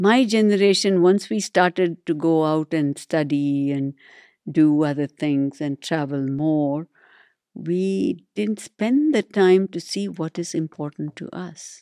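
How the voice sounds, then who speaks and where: A woman with a Tamil accent speaks at a very slow pace in a very deep, low, dark and mellow voice. Her intonation is lively, and the sound is dry and close with no echo. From India. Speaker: neurologist. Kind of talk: interview. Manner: halting.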